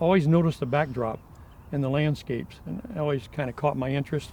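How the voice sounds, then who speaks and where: At a very fast pace, a man with an American accent and a fairly high pitch uses ordinary pitch variation. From US Midwest, northwest Ohio. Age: 70s. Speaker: film historian. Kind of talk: interview. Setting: on location at a ranch. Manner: hesitant fillers.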